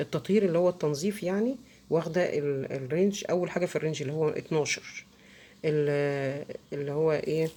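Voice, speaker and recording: A woman speaks with an Egyptian accent at a very deep, low pitch, her tone dark and mellow. Her pace is moderate and her pitch variation ordinary. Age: middle-aged. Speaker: soap-making tutorial creator. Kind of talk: tutorial. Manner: halting, many fillers.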